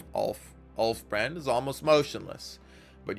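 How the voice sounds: Pitch variation here is ordinary. The voice is a natural reading voice.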